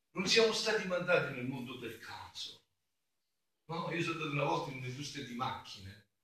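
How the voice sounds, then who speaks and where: Here a man speaks at a moderate pace with a fairly high pitch. His intonation is lively. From southern Italy, Campania (Avellino province). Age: 50s. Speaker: friar, preacher. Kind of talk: sermon. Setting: church during mass.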